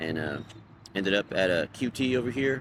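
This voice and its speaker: Ordinary pitch variation marks the delivery of a man with an American accent. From Texas, Dallas area (Richardson). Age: 30s. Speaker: homeless man interviewee. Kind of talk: interview, personal story.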